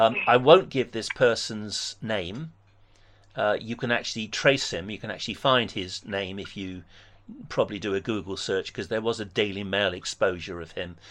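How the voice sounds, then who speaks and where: Against a quiet background, a man with an English accent speaks at a moderate pace in a fairly low pitch, with ordinary pitch variation and big swings in loudness. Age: 60s. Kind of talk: debate phone conversation; personal testimony.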